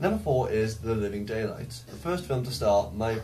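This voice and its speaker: Somewhat breathy and dark, mellow in tone, a man speaks at medium pitch and a fairly quick pace. His intonation is lively, and there is audible room echo. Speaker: film vlogger. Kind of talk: casual monologue vlog. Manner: fast.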